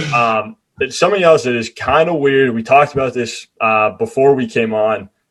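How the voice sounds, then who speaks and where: With an American accent, a man speaks at a moderate pace in a medium pitch, his intonation lively and his voice an unremarkable speaking voice. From US Northeast (Maine). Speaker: student podcast host. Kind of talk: casual interview chat. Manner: casual, filler-heavy.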